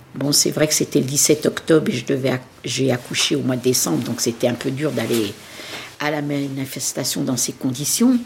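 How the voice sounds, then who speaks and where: Over noticeable background noise, a woman with a very deep, low pitch speaks at a moderate pace with fairly even intonation. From France, Nanterre. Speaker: witness of the Algerian war. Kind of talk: testimony.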